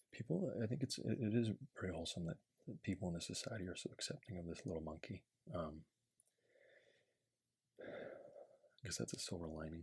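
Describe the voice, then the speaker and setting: A man's somewhat breathy voice with a very deep, low pitch and lively intonation, fairly quick in pace but broken by long, frequent pauses. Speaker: ASMR creator. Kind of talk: casual asides to the viewer while reading.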